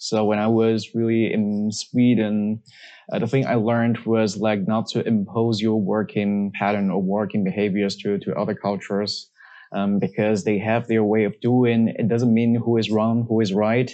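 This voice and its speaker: Speaking with a Chinese accent, a man keeps a moderate pace, very even loudness and fairly even intonation. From China. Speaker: management consultant. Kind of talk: casual interview chat. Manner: halting.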